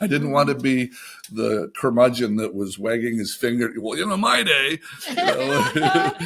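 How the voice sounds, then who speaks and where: Fairly slow speech from a man, with noticeable noise in the background. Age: 60s. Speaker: animation TV writer and showrunner. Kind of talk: casual interview chat. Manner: halting, with frequent repetitions.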